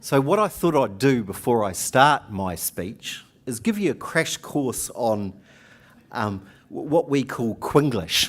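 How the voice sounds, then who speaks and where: Very slowly, a man speaks at a medium pitch with very wide pitch swings. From New Zealand. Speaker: union organiser. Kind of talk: conference speech. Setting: conference hall with audience. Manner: hesitant, with fillers.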